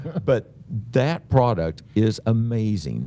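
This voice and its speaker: The speaker is a man with an Oklahoma accent. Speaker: cancer health educator. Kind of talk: educational webinar. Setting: live webinar. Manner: casual, filler-heavy.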